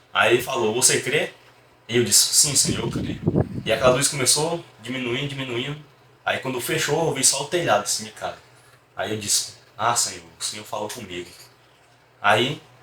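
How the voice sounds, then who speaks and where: A man speaks at a moderate pace in a Ceará accent, with long, frequent pauses, ordinary pitch variation, and noticeable background noise. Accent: northeastern Brazilian Portuguese (Ceará). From Brazil, Fortaleza, Ceará. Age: 20s. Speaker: church deacon. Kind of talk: religious testimony.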